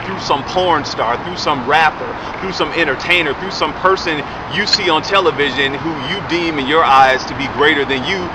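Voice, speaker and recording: A man speaks at a moderate pace in a fairly high pitch. Audible room echo and noticeable background noise surround him. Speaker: vlogger and radio show co-host. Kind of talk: casual commentary vlog. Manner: animated; stuttering.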